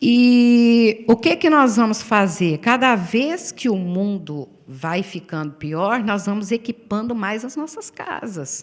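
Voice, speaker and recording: Speaking in a Brazilian accent, a woman with a fairly high pitch moves at a very slow pace with very wide pitch swings and hardly any pauses. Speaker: pastor. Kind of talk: sermon.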